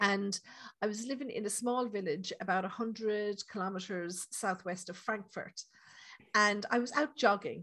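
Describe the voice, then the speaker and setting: With an Irish accent, a woman talks at a fairly slow pace. Her medium-pitched voice has a bright, sharp tone and ordinary pitch variation. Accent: Irish, lilting. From Ireland. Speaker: psychic medium. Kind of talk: casual interview chat.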